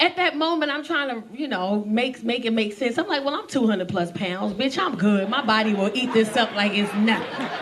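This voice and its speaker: A woman with an American accent and a fairly high pitch speaks at a moderate pace with hardly any pauses, her tone animated and her intonation lively, over noticeable background noise. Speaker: stand-up comedian. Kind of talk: stand-up comedy set to a live audience. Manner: animated, expressive, conversational storytelling.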